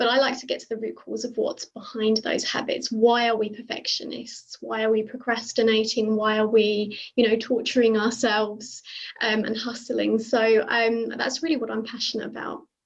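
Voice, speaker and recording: The speaker talks at a moderate pace in a British accent, with monotone, flat intonation. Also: woman, fairly high pitch for a woman. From UK. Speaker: burnout and alignment coach. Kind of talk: panel discussion. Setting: video call.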